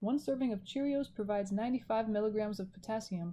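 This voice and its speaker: On a very clean recording with a silent background, a woman speaks in a somewhat breathy, dark, mellow tone at medium pitch with ordinary pitch variation. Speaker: math instructor. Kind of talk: recorded lecture. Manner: casual, self-correcting.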